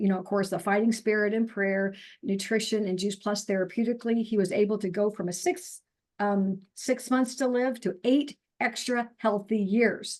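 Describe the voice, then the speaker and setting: A woman speaks in an ordinary speaking voice at a moderate pace, her pitch medium. Her intonation stays fairly even over a quiet background. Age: 60s. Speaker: naturopathic doctor and nutrition counselor. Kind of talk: interview testimony. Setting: video call.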